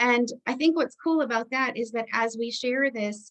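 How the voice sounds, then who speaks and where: The woman's pitch moves with ordinary variation as she talks. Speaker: book club discussion leader. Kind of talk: online group discussion. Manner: fast.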